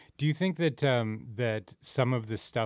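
A man with a Canadian accent at a fairly slow pace, over a quiet background. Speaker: podcast host. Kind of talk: casual chat. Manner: animated.

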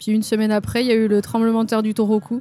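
A woman's voice sits at a fairly high pitch with a dark, mellow tone. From France, Lyon area. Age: 30s. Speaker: tattoo artist. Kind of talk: casual interview.

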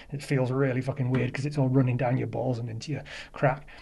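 Over audible room echo, a man at medium pitch talks at a very fast pace in a dark, mellow, somewhat breathy tone with monotone, flat intonation. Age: 40s. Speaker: caller. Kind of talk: voicemail testimony.

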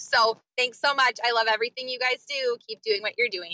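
Using a raised, projected voice, a woman with an American accent speaks at a high pitch in a bright, sharp tone, the sound dry and close with no echo. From US Midwest. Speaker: caller. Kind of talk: voicemail message. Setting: voicemail recording.

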